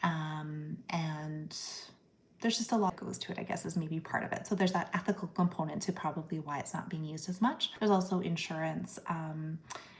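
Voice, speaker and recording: A somewhat breathy woman talks at a fairly quick pace and a fairly low pitch. Her intonation stays fairly even. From Canada. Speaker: psychiatrist. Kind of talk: live-stream Q&A. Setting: live stream. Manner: casual, many fillers (um, like).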